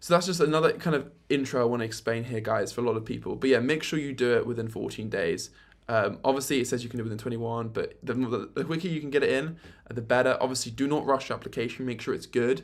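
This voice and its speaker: A man at medium pitch talking at a very fast pace. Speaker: YouTube creator. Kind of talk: tutorial. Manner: animated.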